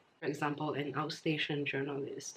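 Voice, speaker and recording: The pace is fairly quick. Noticeable background noise runs through the clip. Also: woman. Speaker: language teacher. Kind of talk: casual language lesson to camera.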